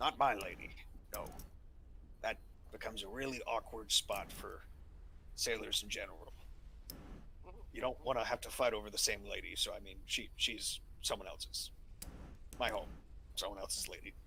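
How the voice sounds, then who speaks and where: Over clear background noise, a man in a put-on character voice talks at a moderate pace with long, frequent pauses. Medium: actual play. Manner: gruff, blunt.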